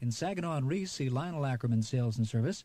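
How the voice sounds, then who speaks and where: Lively intonation marks this man's speech. His voice is fairly high and somewhat breathy. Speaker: radio announcer. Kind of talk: radio news and sports briefs, ad tag read.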